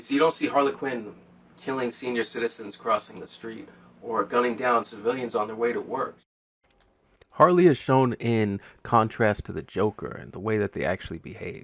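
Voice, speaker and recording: With a normal speaking voice at medium pitch, a man talks at a moderate pace with ordinary pitch variation and big swings in loudness. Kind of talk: casual show review to camera. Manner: relaxed, conversational.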